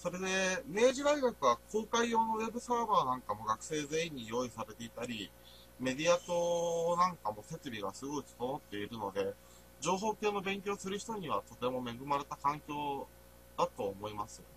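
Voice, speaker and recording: At a moderate pace, a man with a fairly high pitch speaks with very wide pitch swings and big swings in loudness. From Niigata, Nagaoka. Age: 20s. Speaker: university student. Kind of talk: presentation. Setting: voice-only recording. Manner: halting.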